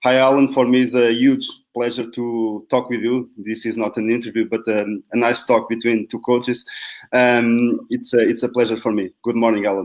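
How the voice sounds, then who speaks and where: In a Portuguese accent, a man keeps a medium pitch and a flat, monotone delivery. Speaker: football coach and professor. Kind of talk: interview. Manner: slow, deliberate.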